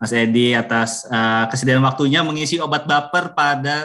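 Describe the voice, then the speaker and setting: A bright, sharp tone carries fairly even intonation at a fairly slow pace against a quiet background. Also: man. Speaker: government official. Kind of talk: official remarks. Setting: video call. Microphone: video call.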